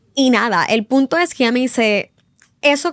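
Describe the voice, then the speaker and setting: A woman with a Puerto Rican accent, fairly high-pitched, at a moderate pace, on a very clean recording with a silent background. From Puerto Rico. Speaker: journalist. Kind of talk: podcast interview.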